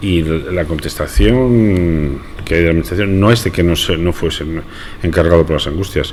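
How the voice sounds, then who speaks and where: A man's very deep, low voice at a moderate pace, with ordinary pitch variation, audible room echo and noticeable background noise. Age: 60s. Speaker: brotherhood member. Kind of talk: radio interview.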